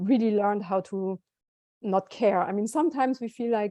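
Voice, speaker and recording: In a German accent, a woman speaks at medium pitch and moderate pace with a dark, mellow tone and ordinary pitch variation, in a dry, close sound with no echo against a quiet background. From southern Germany. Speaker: musician. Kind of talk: interview.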